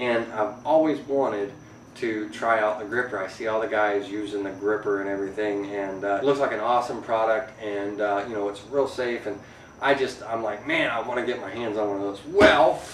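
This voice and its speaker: Against noticeable background noise and audible room echo, a man talks in a fairly low pitch with fairly even intonation. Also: fairly quick pace. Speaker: woodworking YouTuber. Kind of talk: casual vlog. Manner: hesitant, many fillers.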